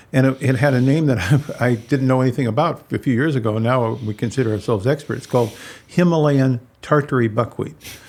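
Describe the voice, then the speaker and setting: Speech comes at a very fast pace with very even loudness and ordinary pitch variation, on a very clean recording with a silent background. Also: man, medium pitch for a man. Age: 70s. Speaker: functional medicine doctor. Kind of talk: interview. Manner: halting.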